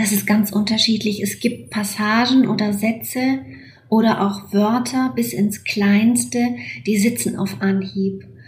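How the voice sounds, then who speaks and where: A woman speaks at a very slow pace with ordinary pitch variation. Noticeable background noise and audible room echo fill the recording. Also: medium pitch for a woman. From Romania (Transylvania and Banat). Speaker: novelist. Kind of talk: interview about her novel. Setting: remote call from her desk at home. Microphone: remote line.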